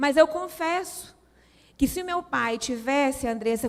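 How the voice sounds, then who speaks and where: A woman's high voice with a Minas Gerais accent, at a fairly slow pace with ordinary pitch variation. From Brazil, Minas Gerais. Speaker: women's ministry speaker. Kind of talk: sermon. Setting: church.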